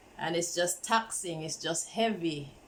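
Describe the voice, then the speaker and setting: Noticeable background noise sits behind a woman speaking at a fairly slow pace in a fairly low voice. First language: not English. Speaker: tarot reader. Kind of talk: tarot reading. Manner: casual.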